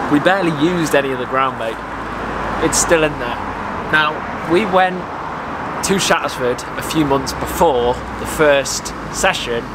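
Amid loud background noise, a man speaks with long, frequent pauses. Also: ordinary pitch variation, moderate pace. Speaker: fishing vlogger. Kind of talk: casual vlog chat. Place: garden.

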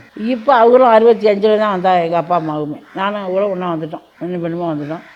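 Noticeable background noise sits behind the speaker. A woman talks with ordinary pitch variation. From Burma. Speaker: Burma repatriate grandmother. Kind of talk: interview testimony.

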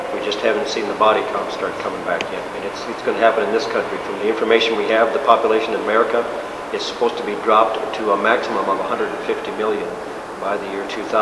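A man at a very fast pace over loud background noise. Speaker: interviewee. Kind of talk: interview answer. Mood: earnest, assertive. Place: hall. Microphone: camera far.

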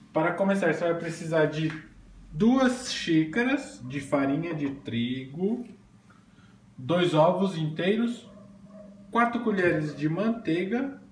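A man speaks very slowly in a high voice, leaving long, frequent pauses, with light background noise and audible echo in the room. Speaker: home cooking vlogger. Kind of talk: casual cooking tutorial. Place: kitchen. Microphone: phone near.

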